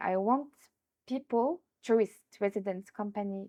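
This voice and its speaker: The speaker has a French accent and ordinary pitch variation. The pace is moderate. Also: woman. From France. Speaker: entrepreneur, tourism business founder. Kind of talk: interview. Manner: hesitant, with fillers.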